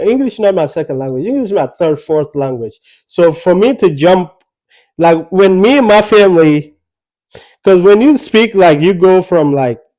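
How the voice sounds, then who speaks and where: A man's high voice with very wide pitch swings, a dark, mellow tone and a South Sudanese accent, over a quiet background. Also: moderate pace. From Ethiopia. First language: Anuak. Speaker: podcast co-host. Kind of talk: casual chat. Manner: halting.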